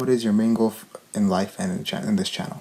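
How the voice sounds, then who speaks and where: Fairly quick speech from a man, with noticeable background noise behind it. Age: young. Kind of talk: casual Q&A talk to camera.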